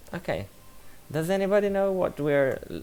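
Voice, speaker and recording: A man speaks with an Italian accent. His pace is moderate. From Italy. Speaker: science communicator streamer. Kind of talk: live stream commentary. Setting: live stream with background music.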